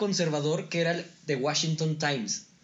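Over noticeable background noise, a man with a Mexican accent and a high pitch speaks at a moderate pace. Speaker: podcast co-host. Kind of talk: casual chat.

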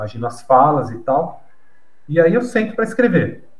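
With audible room echo, a man speaks at a moderate pace in a fairly high pitch that makes very wide pitch swings. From Brazil, São Paulo. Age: 50s. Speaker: novelist. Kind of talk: interview.

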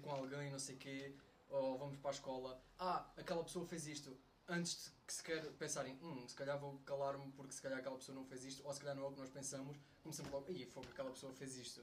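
A man's fairly high, somewhat breathy voice with a European Portuguese accent, very fast and flat in a monotone, with audible room echo. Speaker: university friend. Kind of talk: casual chat.

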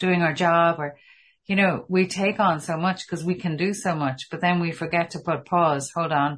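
A woman with an Irish accent and a fairly low pitch speaks at a moderate pace with fairly even intonation. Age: 50s. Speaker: podcast host. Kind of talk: interview conversation.

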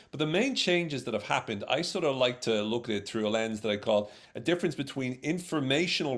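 Speaking with a Dublin accent, a man talks at a fairly quick pace with lively intonation on a very clean recording with a silent background. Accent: Irish (Dublin). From Ireland, Dublin. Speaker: social psychologist and speaker. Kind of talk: interview on workplace communication.

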